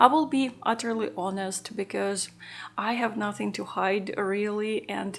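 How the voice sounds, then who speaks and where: A woman with an unremarkable speaking voice talks at a fairly slow pace, her medium pitch held in fairly even intonation. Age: 40s. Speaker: lifestyle vlogger. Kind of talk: personal vlog monologue.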